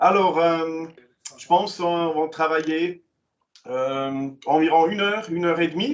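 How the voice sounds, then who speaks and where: A man with a Swiss German accent, a fairly high pitch and ordinary pitch variation. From German-speaking Switzerland. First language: Swiss German (speaking French). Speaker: commission president, vocational training presenter. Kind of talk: online information session presentation. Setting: online meeting. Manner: halting, many hesitations.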